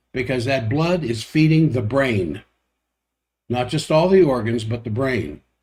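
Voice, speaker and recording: A man's somewhat breathy, fairly high voice at a fairly slow pace, with ordinary pitch variation. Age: 70s. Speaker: doctor hosting a health livestream. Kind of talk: health talk livestream monologue. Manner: casual, with self-corrections and fillers.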